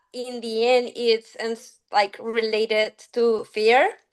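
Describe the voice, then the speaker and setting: A woman's fairly high voice in a Spanish accent, very slow, with fairly even intonation. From Mexico. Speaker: climber. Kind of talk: podcast interview.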